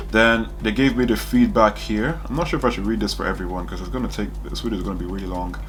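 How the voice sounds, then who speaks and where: A man talking at a very fast pace with hardly any pauses, amid noticeable background noise and audible room echo. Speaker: medical student. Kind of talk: casual monologue reviewing exam feedback. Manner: hesitant, many fillers.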